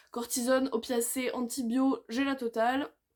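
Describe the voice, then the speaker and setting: A woman's voice is loud and high in pitch. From southern France. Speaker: booktuber. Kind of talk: casual monologue.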